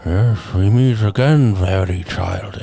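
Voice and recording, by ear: A man does a put-on character voice at a fairly low pitch and a fairly slow pace. Clear background noise sits behind him.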